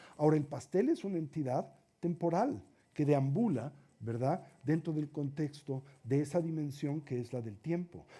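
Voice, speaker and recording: A man's dark, mellow, somewhat breathy voice sits fairly high in pitch, with ordinary pitch variation and a moderate pace. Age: 60s. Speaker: Buddhist teacher. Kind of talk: lecture.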